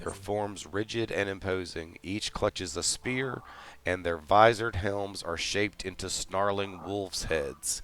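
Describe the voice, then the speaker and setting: At a very slow pace, a man with a fairly low voice speaks with ordinary pitch variation. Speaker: game master. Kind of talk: actual play scene narration. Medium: actual play.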